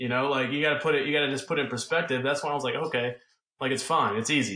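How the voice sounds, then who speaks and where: This man talks very fast in an American accent, his intonation fairly even. His tone is bright and sharp. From US South. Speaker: football quarterback. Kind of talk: interview.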